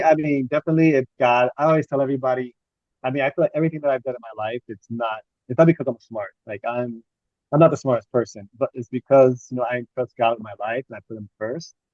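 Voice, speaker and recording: A man with an American accent. He talks at a very fast pace. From US South, Miami, Florida. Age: 40s. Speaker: medical student. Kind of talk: interview. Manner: halting, many fillers and repeats.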